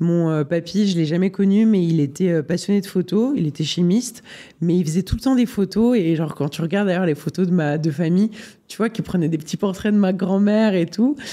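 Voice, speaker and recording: A man's high-pitched voice with a dark, mellow tone, at a fairly quick pace with ordinary pitch variation. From Switzerland, Geneva. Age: 20s. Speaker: photographer. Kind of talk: interview. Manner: hesitant, many fillers.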